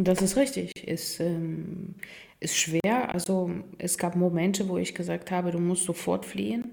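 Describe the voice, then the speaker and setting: A woman's fairly low voice in a Russian accent, fairly slow, with ordinary pitch variation. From Ukraine, Kharkiv. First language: Russian (speaking German). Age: 30s. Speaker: football groundhopper. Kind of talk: casual interview.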